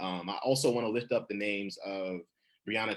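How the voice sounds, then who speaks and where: Fairly low-pitched, a man speaks with ordinary pitch variation. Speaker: poet. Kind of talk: panel discussion. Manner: fast; halting, many fillers.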